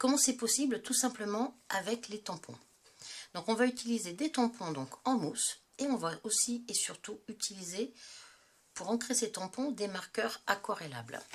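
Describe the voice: Delivered at a moderate pace, the voice has lively intonation and a slightly husky edge. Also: woman, medium pitch for a woman.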